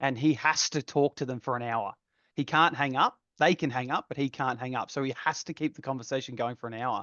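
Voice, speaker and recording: With an Australian accent, a man speaks fairly quickly at a medium pitch and with fairly even intonation. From Australia, Geelong, Victoria. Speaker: architect designer. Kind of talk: casual chat.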